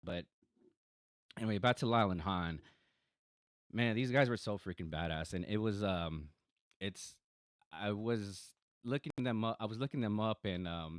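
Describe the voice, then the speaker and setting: With an American accent and a fairly low pitch, a man talks at a moderate pace with long, frequent pauses and ordinary pitch variation, recorded very cleanly against a silent background with a dry, close sound and no echo. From Texas, San Antonio. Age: 30s. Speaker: podcaster. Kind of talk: casual monologue. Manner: halting, many fillers and repeats.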